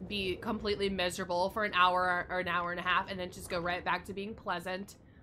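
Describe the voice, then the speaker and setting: With an American accent, a woman speaks at a fairly quick pace. Her tone is bright and sharp. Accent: regional American. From United States. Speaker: gaming streamer. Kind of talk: casual chat.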